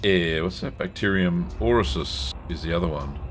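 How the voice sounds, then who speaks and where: A man with a very deep, low voice speaks at a moderate pace with ordinary pitch variation, with audible room echo and music playing in the background. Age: 60s. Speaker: gaming streamer. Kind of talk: live gameplay stream with chat reading. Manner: casual, conversational.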